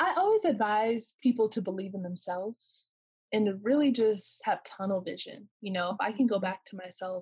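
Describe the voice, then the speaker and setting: Somewhat breathy and with a Californian accent, the voice moves at a moderate pace with ordinary pitch variation. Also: woman. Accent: General American (Californian). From Southern California. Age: 20s. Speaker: professional basketball player. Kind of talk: casual interview.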